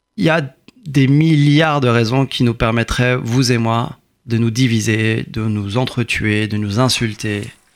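Very slow delivery from a man at medium pitch, with ordinary pitch variation. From France, Courbevoie. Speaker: politician and lawyer. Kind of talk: interview.

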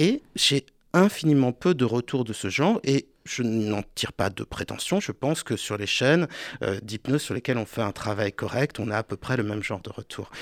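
On a very clean recording with a silent background and a dry, close sound with no echo, a man with a medium pitch speaks at a moderate pace with lively intonation. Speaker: hypnotherapist and author. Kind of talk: radio interview. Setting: radio studio. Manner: animated gestures while speaking.

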